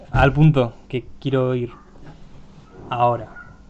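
A man speaks at a very slow pace and medium pitch. His intonation is monotone and flat, with noticeable background noise. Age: 20s. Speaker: podcast host. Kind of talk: casual chat.

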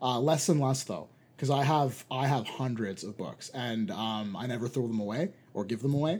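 This man's voice sits at a medium pitch, varying in an ordinary way. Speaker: podcast host. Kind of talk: casual chat. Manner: fast talker.

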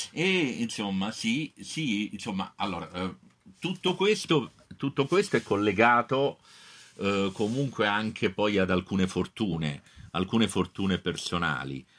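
On a very clean recording with a silent background, a man speaks at a fairly slow pace in a fairly low pitch with lively intonation. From Naples, Italy. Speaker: professor. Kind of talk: testimony. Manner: halting.

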